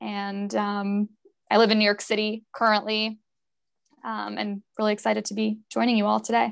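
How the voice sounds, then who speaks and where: A woman with an American accent speaks at a moderate pace against a quiet background. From Connecticut. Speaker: private banker. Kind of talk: panel discussion. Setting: video call. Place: office. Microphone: earbuds.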